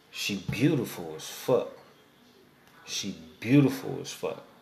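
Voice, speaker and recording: Audible room echo and noticeable background noise around a man's fairly slow speech. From East Oakland, California. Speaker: podcast host. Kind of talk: casual chat.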